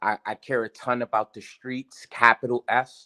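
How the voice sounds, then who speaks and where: At a fairly slow pace, a man speaks with a medium pitch and a bright, sharp tone, in a dry, close sound with no echo and a quiet background. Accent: New York. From New York, South Bronx. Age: 30s. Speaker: teacher. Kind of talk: casual chat. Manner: halting.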